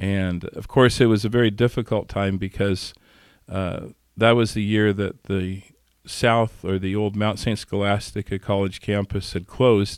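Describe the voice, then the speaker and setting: At a fairly slow pace, a man with an American accent and a fairly low pitch speaks in a monotone, flat intonation on a very clean recording with a silent background. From US Midwest, western Kansas. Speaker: monk and priest. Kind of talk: interview. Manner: halting.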